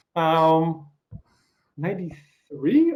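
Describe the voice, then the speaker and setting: Speaking at a very slow pace, a man with a slight Russian accent talks in a high pitch. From eastern Ukraine. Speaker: interviewer. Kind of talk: interview.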